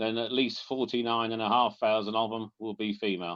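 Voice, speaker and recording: A man with a Norfolk accent speaks at a medium pitch. His intonation is monotone and flat. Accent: Norfolk twang. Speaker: bee inspector. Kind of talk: public talk with slides. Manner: fast; casual, hesitant.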